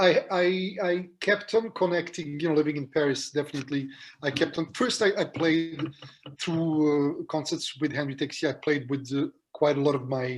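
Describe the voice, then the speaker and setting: A man talks at a moderate pace with a non-native accent. His pitch sits fairly high. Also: ordinary pitch variation. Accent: non-native, own accent when speaking. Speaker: jazz pianist. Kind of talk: interview. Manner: halting, many fillers and repetitions.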